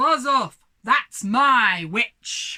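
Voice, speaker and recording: A shrill, croaky, growling put-on character voice. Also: woman. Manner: gruff, threatening.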